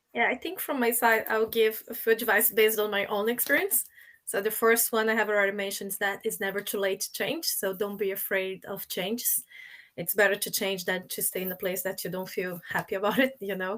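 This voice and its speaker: On a very clean recording with a silent background, a woman with a Portuguese accent speaks at a fairly high pitch with fairly even intonation. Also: fairly quick pace. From Brazil. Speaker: supply chain professional. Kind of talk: panel discussion.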